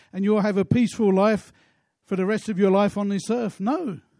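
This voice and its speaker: A man talks at a fairly quick pace in a high, dark, mellow voice. His intonation stays fairly even against a quiet background. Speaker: preacher. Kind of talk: sermon. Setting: church. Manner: passionate, exhortatory pulpit delivery with rhetorical questions and repetition; emphatic, earnest, building to worshipful prayer.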